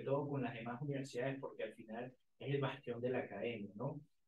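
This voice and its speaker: A man talks in the medium pitch range, his voice carrying audible room echo. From Venezuela. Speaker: university student leader; guest. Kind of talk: casual interview.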